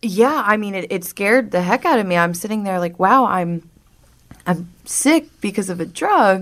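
Talking at a moderate pace with an American accent, a woman uses an unremarkable speaking voice of medium pitch and lively intonation. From South Jersey, US. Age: 20s. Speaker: person in addiction recovery. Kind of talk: interview, personal testimony. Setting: radio studio.

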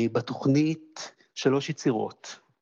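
A man speaks with ordinary pitch variation. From Israel, Jerusalem. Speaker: pianist and conductor. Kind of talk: interview.

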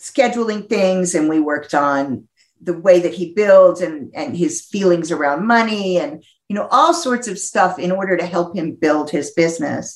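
A woman speaks in an unremarkable speaking voice, fairly low in pitch, with an American accent. Her intonation is lively and her pace moderate. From US Northeast. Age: 50s. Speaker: psychologist and sex therapist. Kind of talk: interview.

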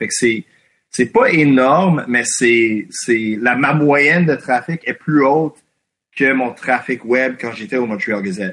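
A man is speaking at a medium pitch. His pitch varies in an ordinary way. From Quebec (anglophone community). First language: English (speaking French). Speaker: independent journalist. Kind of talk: interview. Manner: halting.

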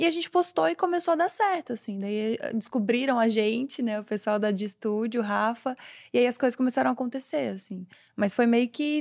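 At a moderate pace, a woman with a normal speaking voice talks at a fairly high pitch with lively intonation. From southern Brazil, Florianópolis. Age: 20s. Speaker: comedian and content creator. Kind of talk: casual chat.

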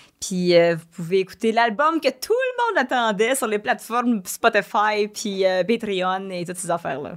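A plain, everyday voice talks at a moderate pace with ordinary pitch variation on a very clean recording with a silent background. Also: woman. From Quebec (Varennes). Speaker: streamer and singer. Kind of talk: casual chat. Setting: studio.

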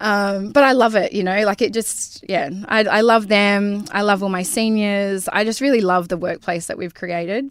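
With an Australian accent, a woman speaks at a medium pitch with ordinary pitch variation. Her pace is moderate, with hardly any pauses. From Karratha, Western Australia. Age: 40s. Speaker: beautician and business owner. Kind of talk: casual interview chat. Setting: studio. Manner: hesitant, many ums and likes.

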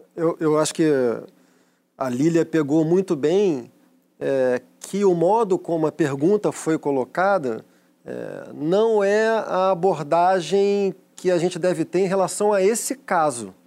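Recorded very cleanly with a silent background, a man talks at a very slow pace in a high pitch, with a dark, mellow tone and ordinary pitch variation. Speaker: panelist and commentator. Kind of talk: talk show debate.

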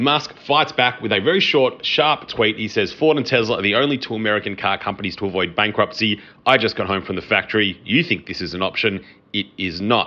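A man in an Australian accent, fairly low in pitch and fairly quick in pace. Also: lively intonation. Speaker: podcast host and accountant. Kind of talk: casual business podcast commentary and interview.

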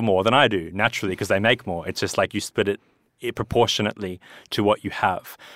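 A man with an Australian accent speaks at a fairly low pitch. The recording is very clean, with a silent background and a dry, close sound with no echo. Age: 30s. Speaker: entrepreneur and movie producer. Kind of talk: casual chat. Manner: halting.

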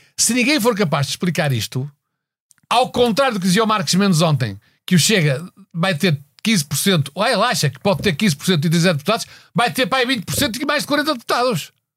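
A man with a high voice speaks at a moderate pace, his pitch swinging very widely, on a very clean recording with a silent background. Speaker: political satire panelist. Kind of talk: casual chat.

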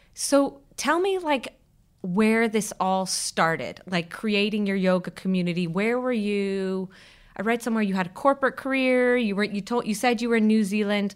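A woman talks in an unremarkable speaking voice, fairly high in pitch with ordinary pitch variation. Her moderate pace comes through on a very clean recording with a silent background. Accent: American. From Ireland, Kerry, teen years in Los Angeles. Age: 40s. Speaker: podcast host. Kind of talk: interview. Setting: studio.

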